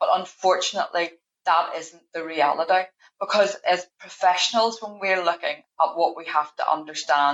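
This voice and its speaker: In a Northern Irish accent, a woman speaks at a fairly low pitch and a moderate pace. Her intonation is fairly even. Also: big swings in loudness. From Northern Ireland. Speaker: payroll manager. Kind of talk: podcast interview.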